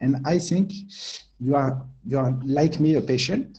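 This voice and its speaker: Somewhat breathy male speech, medium in pitch, with ordinary pitch variation. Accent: French. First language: French. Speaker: tech company co-founder. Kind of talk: presentation. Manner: halting, many fillers and repeats.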